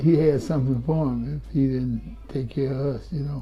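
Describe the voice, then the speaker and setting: A man talks at a fairly slow pace, his pitch fairly high and his intonation flat and monotone. Noticeable background noise and audible room echo surround his voice. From Florida, Clearwater. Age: 70s. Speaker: community organizer and army veteran. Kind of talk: casual interview. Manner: halting.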